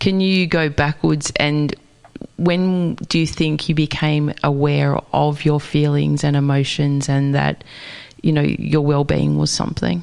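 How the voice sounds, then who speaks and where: Against noticeable background noise, a woman speaks at a fairly slow pace with very even loudness. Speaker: radio host. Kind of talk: radio interview host.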